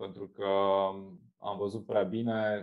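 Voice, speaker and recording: A man speaks fairly slowly at a fairly low pitch. The background is quiet. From Romania, Galați county (eastern Romania); Romania. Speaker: marketing agency founder, entrepreneur; podcast guest. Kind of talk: interview conversation. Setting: remote video call. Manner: hesitant with many fillers. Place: home room. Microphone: video call.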